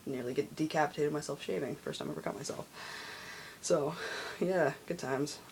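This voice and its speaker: Pausing long and often, a man speaks at a fairly high pitch with ordinary pitch variation. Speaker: video blogger. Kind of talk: casual vlog. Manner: hesitant with many fillers.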